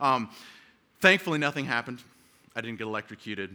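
With an American accent, a man speaks in a medium pitch, his tone bright and sharp and his intonation lively. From US South. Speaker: preacher. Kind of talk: sermon. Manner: halting.

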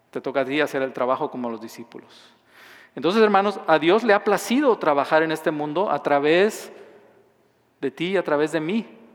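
With lively intonation and a fairly high pitch, a man speaks at a fairly quick pace. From southern Mexico. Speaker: pastor. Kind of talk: sermon.

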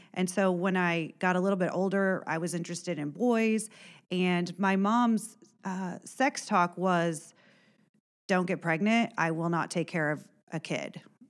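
Recorded very cleanly against a silent background, a woman with a plain, everyday voice speaks fairly slowly at a medium pitch, with ordinary pitch variation. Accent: American. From Indiana, Warren County. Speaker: former schoolteacher. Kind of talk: personal testimony.

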